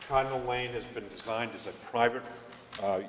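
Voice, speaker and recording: Audible room echo and light background noise surround the voice. The intonation stays fairly even. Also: man. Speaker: consultant presenting road proposal. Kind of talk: formal presentation to a board. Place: hall. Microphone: podium.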